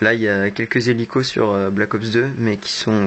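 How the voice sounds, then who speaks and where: Noticeable background noise runs under the recording. A man speaks with a fairly low pitch. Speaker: gamer. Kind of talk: gameplay commentary. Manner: not very expressive.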